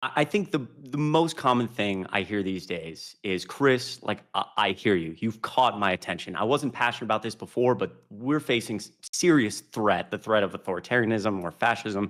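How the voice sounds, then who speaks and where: In a plain, everyday voice, a fairly low-pitched man speaks at a moderate pace with hardly any pauses. His intonation is lively, and the recording is very clean with a silent background. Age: 20s. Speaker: political commentator and panel moderator. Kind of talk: casual intro then live panel moderation. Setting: live stream panel.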